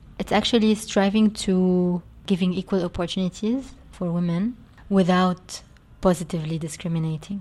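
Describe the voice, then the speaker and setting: Over a quiet background, a woman speaks at a moderate pace and medium pitch. Her tone is dark, mellow and somewhat breathy, with fairly even intonation. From Lebanon (Beirut). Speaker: media company co-founder and CEO. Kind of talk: interview.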